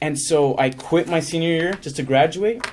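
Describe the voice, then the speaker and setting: Here, a man is speaking. His pace is moderate. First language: Spanish. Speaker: actor. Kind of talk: interview. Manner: casual, uses 'like' often, code-switches to Spanish.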